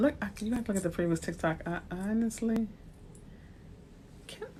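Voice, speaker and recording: With a New Orleans accent, a woman speaks at a moderate pace. Her medium-pitched voice is somewhat breathy. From US South, New Orleans. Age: 40s. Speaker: realtor. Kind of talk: livestream talk. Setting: livestream. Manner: animated.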